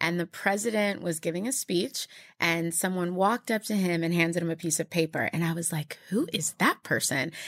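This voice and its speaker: A woman with an American accent and a plain, everyday voice, fairly low-pitched with ordinary pitch variation, at a fairly quick pace, in a dry, close sound with no echo on a very clean recording with a silent background. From Texas. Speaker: digital marketing executive and entrepreneur. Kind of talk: interview.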